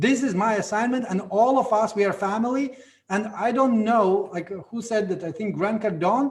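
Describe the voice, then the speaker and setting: The speech comes at a moderate pace in a Latvian accent with ordinary pitch variation. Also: man, high pitch for a man. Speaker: network marketing leader. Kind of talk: motivational talk. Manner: animated.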